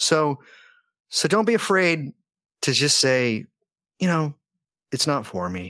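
A man's voice against a quiet background. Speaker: magic podcast host and researcher. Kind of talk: casual chat.

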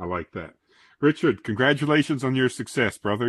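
A man speaks at medium pitch in a normal speaking voice, with lively intonation and a fairly quick pace. The sound is dry and close with no echo, against a quiet background. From Newfoundland, Canada. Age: 40s. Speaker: podcast host, automotive journalist. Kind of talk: casual interview.

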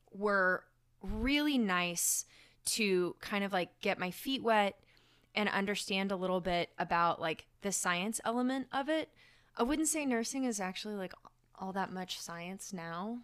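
Here is an unremarkable speaking voice: a woman with an American accent at a medium pitch and a fairly slow pace. Her intonation is lively, and the recording is very clean with a silent background. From Oklahoma, Tulsa. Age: 30s. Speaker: ER nurse. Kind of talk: casual chat.

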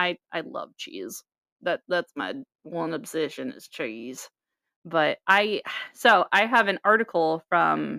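A woman with an American accent and a bright, sharp tone speaks at a fairly low pitch with vocal fry, very wide pitch swings and big swings in loudness, in a dry, close sound with no echo. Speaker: podcast co-host. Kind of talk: casual chat. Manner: animated, casual.

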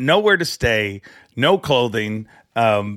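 Lively intonation marks a man's medium-pitched voice. The background is silent and the recording very clean. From Canada. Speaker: fishing tournament MC and TV host. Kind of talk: casual chat. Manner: loud; talkative.

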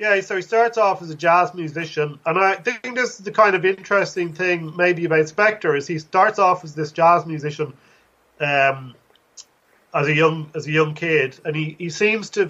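A man with a Dublin accent, high in pitch, bright and sharp in tone, at a moderate pace, with ordinary pitch variation and big swings in loudness. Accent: Irish (Dublin). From Ireland, Dublin. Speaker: author and college lecturer. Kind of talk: interview.

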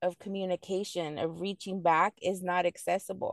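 The sound is dry and close with no echo, over a quiet background. A woman speaks at a medium pitch. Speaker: mother and returning student. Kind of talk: interview.

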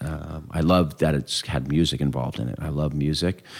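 This man has a very deep, low pitch, vocal fry and an American accent. He keeps a moderate pace with fairly even intonation. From Southern California (Claremont). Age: 50s. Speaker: music tour founder and promoter. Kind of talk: casual interview. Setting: at his home.

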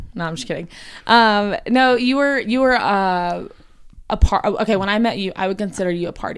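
In a very clean recording with a silent background, a woman with a Southern US accent speaks at a medium pitch and moderate pace with ordinary pitch variation. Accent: Southern US, noticeable. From US South, South Carolina. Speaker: podcast guest, host's wife. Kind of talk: casual chat.

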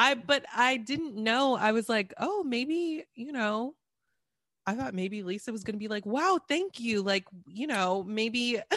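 A woman in an ordinary speaking voice, fairly high in pitch, with lively intonation, a fairly slow pace, and a dry, close sound with no echo. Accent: American. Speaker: podcaster guest. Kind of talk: casual chat.

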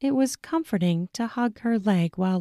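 Natural reading voice, heard here

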